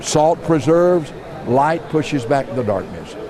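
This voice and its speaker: A man at a fairly slow pace, lively in intonation, over noticeable background noise. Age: 70s. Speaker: pastor. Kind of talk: interview. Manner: halting.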